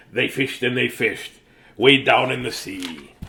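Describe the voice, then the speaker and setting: A man puts on a character voice at medium pitch, speaking at a moderate pace. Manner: gravelly sea-dog delivery.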